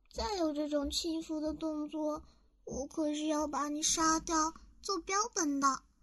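Very slowly, a woman speaks at a high pitch. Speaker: ASMR voice actress. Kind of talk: roleplay ASMR drama, playing a loli vampire. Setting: studio, close-mic ASMR. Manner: animated, haughty-cute tsundere, pouting and flustered, sudden shifts from proud to shy; dramatic and theatrical, breathy giggles and soft whispers close to the mic.

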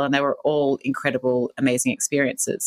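Speech races along at a very fast pace with an Australian accent. The sound is dry and close, with no echo. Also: woman. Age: 40s. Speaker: businesswoman and author. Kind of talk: interview.

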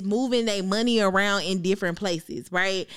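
A woman speaks in a bright, sharp, animated tone. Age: 20s. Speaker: podcast co-host. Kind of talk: casual chat.

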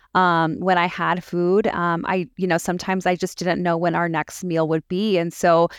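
A woman with an American accent speaks at a moderate pace with fairly even intonation, dry and close with no echo, on a very clean recording with a silent background. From Southern California. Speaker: nutrition coaching client. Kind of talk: interview testimony.

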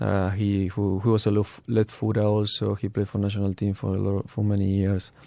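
On a very clean recording with a silent background, a man with a Spanish accent speaks at a fairly quick pace with hardly any pauses, in a monotone, flat intonation, with a dark, mellow tone and fairly low pitch. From Argentina. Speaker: professional footballer. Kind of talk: interview. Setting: studio. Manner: halting, many fillers.

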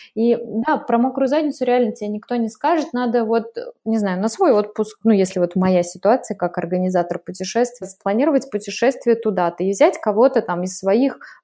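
A woman speaks at a moderate pace with ordinary pitch variation and a fairly high pitch. She has an unremarkable speaking voice. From Russia, Udmurtia (Glazov). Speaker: travel organizer. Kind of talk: casual interview.

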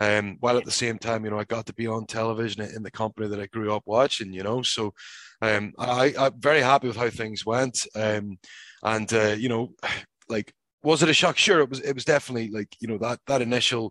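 A man with a Northern Irish accent, medium pitch, fairly even intonation and a fairly quick pace, on a very clean recording with a silent background and a dry, close sound with no echo. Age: 30s. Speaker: professional wrestler. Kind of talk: casual interview. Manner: halting, frequent repetitions.

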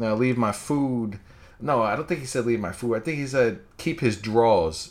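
This is a man with a plain, everyday voice. He talks at a medium pitch and a moderate pace. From New York. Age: 20s. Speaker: wrestling podcaster. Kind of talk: solo podcast commentary. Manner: casual with frequent fillers.

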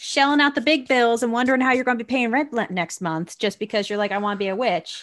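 A woman with a New Jersey accent speaks with lively intonation. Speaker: podcast co-host. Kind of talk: casual chat.

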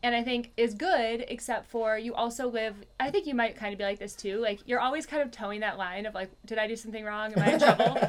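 Very fast speech with hardly any pauses, ordinary pitch variation and noticeable background noise. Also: woman, fairly high pitch for a woman. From US, moved around (Virginia, Minnesota). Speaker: business owner and CrossFit coach. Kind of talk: casual interview.

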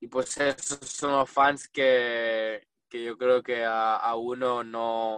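The man speaks at a very slow pace. His delivery is monotone, with flat intonation. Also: medium pitch for a man, hardly any pauses, dry, close sound with no echo. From US, south Florida. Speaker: racing driver. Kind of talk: interview. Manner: halting, many fillers.

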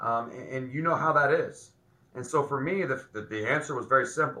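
This man has a medium pitch, a bright, sharp tone and ordinary pitch variation, speaking at a fairly quick pace. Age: 40s. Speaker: high school football coach. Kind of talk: casual interview chat.

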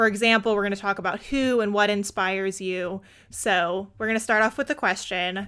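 A woman's voice sounds upbeat and warm, with a bright, sharp tone. The recording is very clean, the background silent. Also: medium pitch for a woman, moderate pace. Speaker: podcast host. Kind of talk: scripted intro then interview chat.

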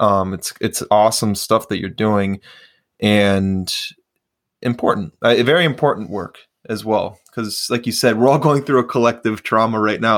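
A man with an American accent has an ordinary speaking voice at a medium pitch. He talks at a moderate pace with ordinary pitch variation. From US Midwest, Chicago suburbs. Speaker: podcast host, jiu-jitsu athlete. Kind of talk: casual chat. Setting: remote call.

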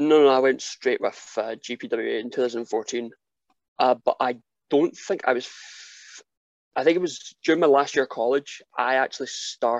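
With ordinary pitch variation, a man speaks at a fairly slow pace. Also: medium pitch for a man, dry, close sound with no echo. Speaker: professional wrestler. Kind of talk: casual chat.

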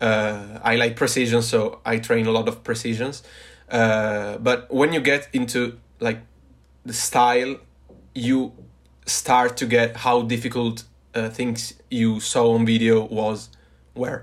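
In a very clean recording with a silent background, a man with an Italian accent speaks in a monotone, flat intonation at a fairly slow pace, with long, frequent pauses. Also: medium pitch for a man. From northern Italy, Turin. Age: 20s. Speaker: parkour athlete and engineering student. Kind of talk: casual chat. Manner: halting.

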